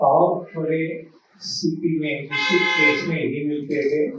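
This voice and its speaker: A man's voice carries audible room echo. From Gujarat, India (Amreli district). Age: 80s+. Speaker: health speaker. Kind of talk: talk to a seminar audience.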